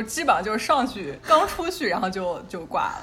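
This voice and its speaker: A woman at a fairly quick pace, with very wide pitch swings, audible room echo and noticeable background noise. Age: young. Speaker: podcast co-host. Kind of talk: casual chat.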